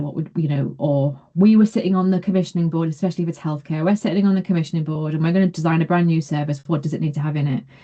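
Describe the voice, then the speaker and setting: Speaking at a very fast pace, a woman has a somewhat breathy voice at a fairly low pitch with ordinary pitch variation. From northeast England, Consett, County Durham. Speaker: realist evaluation researcher, session host. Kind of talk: webinar Q&A discussion.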